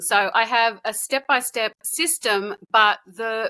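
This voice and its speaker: The speaker has an Australian accent. The tone is bright and sharp. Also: woman. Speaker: dating coach. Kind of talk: podcast interview. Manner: hesitant, with fillers.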